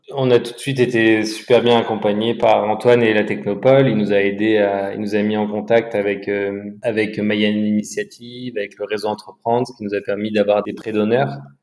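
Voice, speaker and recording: A man's fairly low voice in monotone, flat intonation, at a moderate pace with hardly any pauses, over noticeable background noise. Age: 30s. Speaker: entrepreneur. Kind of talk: casual interview. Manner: halting, repeats words.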